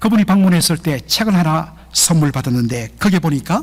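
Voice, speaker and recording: This man speaks with a Gyeongsang accent at a fairly high pitch. His pace is fairly slow and his intonation lively. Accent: Gyeongsang regional Korean. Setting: preaching or sermon.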